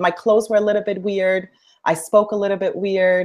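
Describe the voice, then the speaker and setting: This woman talks at a moderate pace in a medium pitch. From India, moved to Canada at 11. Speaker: dance instructor and aspiring public speaker. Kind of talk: interview. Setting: live stream video call.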